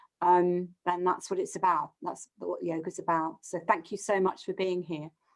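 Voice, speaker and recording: A woman speaks with a British accent and a fairly low pitch. Her intonation is monotone and flat. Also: moderate pace. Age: 60s. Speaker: yoga therapist and author. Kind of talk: live webinar closing remarks.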